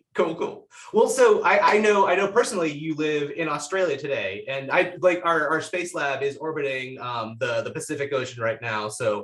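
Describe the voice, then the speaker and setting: Background noise is noticeable throughout. Speech proceeds at a moderate pace. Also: man. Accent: American. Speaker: podcast host. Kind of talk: casual interview.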